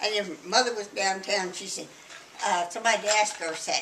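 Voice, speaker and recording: Over noticeable background noise, a woman with a Texan accent speaks at a moderate pace in a fairly high voice. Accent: Texan Southern US. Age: 80s+. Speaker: grandmother interviewee. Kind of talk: family interview, reminiscing.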